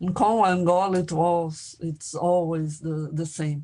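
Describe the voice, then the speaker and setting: In a Portuguese accent, a woman speaks at a fairly slow pace with a dark, mellow tone and fairly low pitch. Her intonation is fairly even, and the background is quiet. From Brazil. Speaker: filmmaker and anthropologist. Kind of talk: academic workshop presentation. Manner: halting, with many repetitions.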